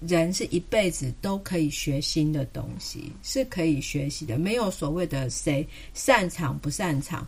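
A woman with a Taiwanese accent and fairly low pitch speaks fairly slowly yet with hardly any pauses, sounding somewhat breathy with lively intonation. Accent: Taiwanese Mandarin. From southern Taiwan (Kaohsiung). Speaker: pediatrician. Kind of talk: casual chat.

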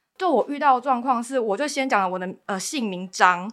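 A woman's bright, sharp, fairly high voice on a very clean recording with a silent background. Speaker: baking class instructor. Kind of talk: personal testimony in interview.

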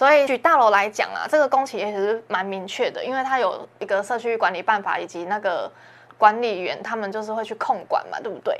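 Big swings in loudness and ordinary pitch variation against a quiet background. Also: woman, fairly high pitch for a woman, fairly quick pace. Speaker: interior designer, studio head. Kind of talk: podcast interview. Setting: live online show.

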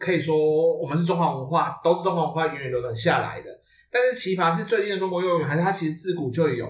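A man's high-pitched voice at a fairly quick pace, with audible room echo. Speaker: podcast host. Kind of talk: casual chat.

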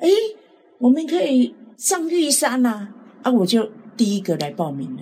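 A woman at a moderate pace, with very wide pitch swings and long, frequent pauses. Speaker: cancer patient. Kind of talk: interview.

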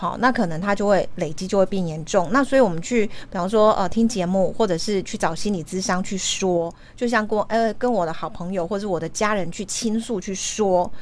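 A woman speaks at a medium pitch and a fairly quick pace, with hardly any pauses. Her pitch varies normally, and background noise is noticeable. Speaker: radio host. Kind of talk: interview.

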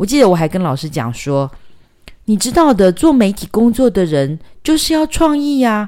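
A woman's voice with very wide pitch swings. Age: middle-aged. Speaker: documentary filmmaker and author. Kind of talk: casual chat.

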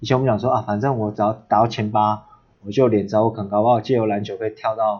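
A man talks very fast at a fairly low pitch. His intonation stays flat and monotone. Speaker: coach, former basketball player. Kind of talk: interview.

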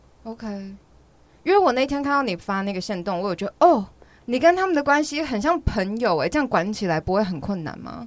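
A woman's fairly high voice at a fairly quick pace, full of very wide pitch swings. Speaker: podcast host and language teacher. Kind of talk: casual chat interview. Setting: studio with headphones. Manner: laughs often.

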